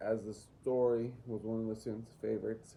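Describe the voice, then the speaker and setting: Dark, mellow tone at a fairly quick pace. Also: man. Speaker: student teacher. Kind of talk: assignment reflection. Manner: monotone.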